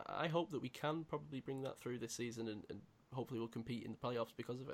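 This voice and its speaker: A man with a British accent, at a medium pitch. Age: 20s. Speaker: podcast host. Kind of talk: casual chat.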